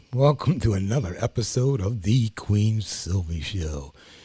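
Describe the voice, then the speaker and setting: In a very clean recording with a silent background, a man speaks at a fairly slow pace, somewhat breathy, with a dark, mellow tone. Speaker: talk show co-host. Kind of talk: talk show chat. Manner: smooth.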